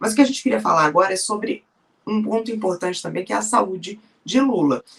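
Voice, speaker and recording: The intonation here is lively. The pace is very fast. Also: woman, medium pitch for a woman. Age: 40s. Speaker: journalist. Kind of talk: interview.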